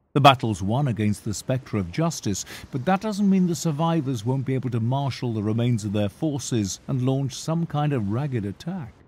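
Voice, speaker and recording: Speaking at a moderate pace with hardly any pauses, a man uses a medium pitch, lively intonation and a somewhat breathy voice. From UK. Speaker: voice actor. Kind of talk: audiobook narration.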